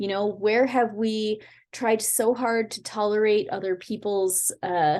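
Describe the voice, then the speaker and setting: The woman's tone comes across dark and mellow. She talks with an American accent. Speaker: spiritual teacher and astrologer. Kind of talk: spiritual guidance talk; reading aloud from own book. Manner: casual, with filler words.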